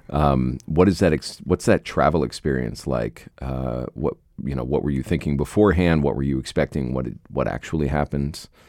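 With an American accent, a man speaks in a very deep, low pitch with vocal fry. He hardly pauses at all. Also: ordinary pitch variation, moderate pace, dry, close sound with no echo. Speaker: podcast host. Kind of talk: interview conversation.

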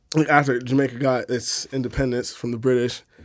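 On a very clean recording with a silent background, a man with a New York accent speaks at a moderate pace and a medium pitch in a monotone, flat intonation. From New York, the Bronx. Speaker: housing activist. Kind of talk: casual chat.

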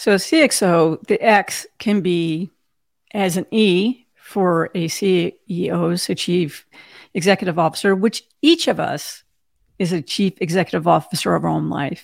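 A woman with vocal fry speaks at a medium pitch and a fairly slow pace with ordinary pitch variation, in a dry, close sound with no echo. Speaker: cybersecurity executive and podcaster. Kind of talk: casual interview. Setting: video call.

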